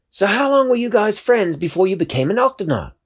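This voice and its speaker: In a put-on character voice, a man speaks at a very fast pace and a high pitch. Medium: read story. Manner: excited, curious.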